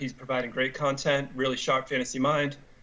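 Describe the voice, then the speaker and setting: A man speaks fairly quickly in a fairly high voice. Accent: American. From Boston area, US. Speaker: fantasy sports website owner. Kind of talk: radio interview. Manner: hesitant, many fillers.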